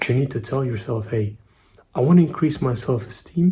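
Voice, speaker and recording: This man, with a non-native accent, has a medium-pitched, somewhat breathy voice that is dark and mellow in tone, with ordinary pitch variation. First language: not English. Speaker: self-improvement YouTuber. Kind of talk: casual vlog monologue. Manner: slightly halting.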